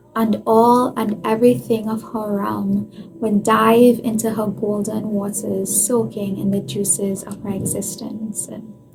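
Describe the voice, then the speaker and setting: A woman speaks fairly slowly at medium pitch with fairly even intonation and hardly any pauses. There is noticeable background noise. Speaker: author and artist. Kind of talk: reading aloud own poetry.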